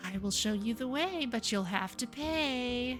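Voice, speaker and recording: Over clear background music, a woman uses a put-on character voice, high-pitched and at a fairly slow pace. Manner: irritating, eerie.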